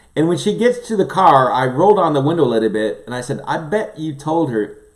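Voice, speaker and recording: A man with a fairly high voice talks at a fairly quick clip in an animated way, his pitch swinging very widely over noticeable background noise. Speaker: livestream host, former pastor. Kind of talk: casual chat. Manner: fast.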